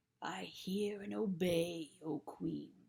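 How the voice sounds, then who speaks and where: A woman growls in a put-on character voice pitched fairly low. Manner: growling, obedient.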